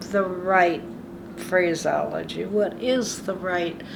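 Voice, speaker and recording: A woman speaks at a very slow pace with a fairly low pitch and ordinary pitch variation. Noticeable background noise runs under her voice. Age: 90s. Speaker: retired community volunteer. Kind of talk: interview answer.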